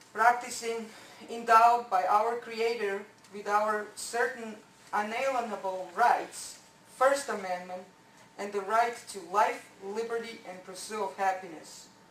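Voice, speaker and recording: With a non-native accent, a woman talks at a fairly high pitch and fairly even intonation, her loudness swinging widely amid audible room echo and noticeable background noise. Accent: foreign. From born abroad. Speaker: resident speaking at public comment. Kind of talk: public comment at council meeting. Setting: council meeting. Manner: halting.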